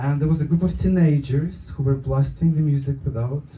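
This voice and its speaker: There is audible room echo around a man whose somewhat breathy voice has a dark, mellow tone and medium pitch. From Ukraine. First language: Ukrainian or Russian. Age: 40s. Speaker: stand-up comedian. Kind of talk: stand-up. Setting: stage with audience. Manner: hesitant with fillers.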